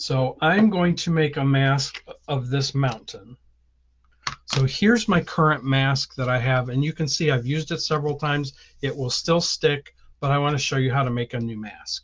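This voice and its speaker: This man's voice sits fairly high in pitch. There is a somewhat breathy quality to it. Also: ordinary pitch variation, moderate pace. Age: 60s. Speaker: stamping and card-making teacher. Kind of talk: tutorial; live stream. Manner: casual, with many filler ums.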